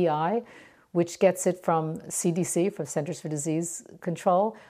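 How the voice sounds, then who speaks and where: A woman's dark, mellow tone at a fairly low pitch, moderate in pace with ordinary pitch variation, in a very clean recording with a silent background. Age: 60s. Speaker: microbiology professor. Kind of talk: interview. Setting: at home in her kitchen.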